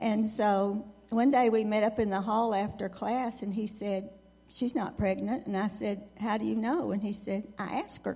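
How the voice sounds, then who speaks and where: A woman speaks in a Texan accent at a moderate pace, her pitch fairly high. Her intonation stays fairly even. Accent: Texan Southern. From West Texas and East Texas. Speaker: veteran's wife. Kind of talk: testimony.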